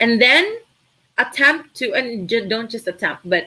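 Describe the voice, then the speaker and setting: A woman's bright, sharp tone at a fairly slow pace. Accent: Filipino. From Philippines, Cebu. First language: Tagalog. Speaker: virtual assistant trainer. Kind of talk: live stream Q&A. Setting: live stream.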